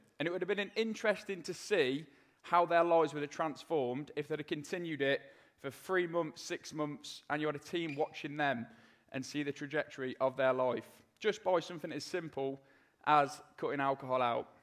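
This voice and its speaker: With a British accent, a man speaks at a moderate pace in a fairly high pitch, with ordinary pitch variation, on a very clean recording with a silent background. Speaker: ex-soldier and motivational speaker. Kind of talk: live talk and testimony. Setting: stage with audience.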